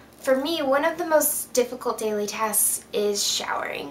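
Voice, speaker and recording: A woman talks at a high pitch with ordinary pitch variation, and there is noticeable background noise. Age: 20s. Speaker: chronic illness vlogger. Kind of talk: casual talk to camera. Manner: friendly, chatty.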